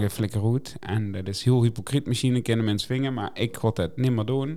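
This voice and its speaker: This man has an unremarkable speaking voice at a medium pitch. He keeps a moderate pace and fairly even intonation. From Netherlands. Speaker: podcast co-host. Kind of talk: casual chat.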